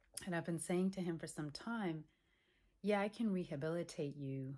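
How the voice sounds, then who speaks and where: A woman's pitch varies in an ordinary way. She speaks at a fairly quick pace. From Europe. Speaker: holistic exercise coach. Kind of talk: casual vlog. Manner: casual, hesitant fillers.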